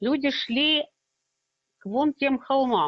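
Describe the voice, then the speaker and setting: A woman puts on a gruff character voice pitched high. She speaks at a fairly slow pace. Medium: read story. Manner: measured, terse.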